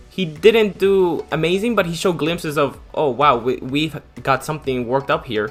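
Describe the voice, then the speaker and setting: Music plays in the background while a man with an American accent speaks with lively intonation. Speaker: football commentator YouTuber. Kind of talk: casual talk to camera.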